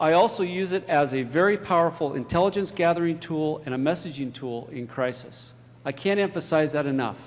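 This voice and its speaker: A man's fairly high-pitched voice at a fairly quick pace, with ordinary pitch variation. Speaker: fire chief and emergency management official. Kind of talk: conference talk. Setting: stage with audience. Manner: fast.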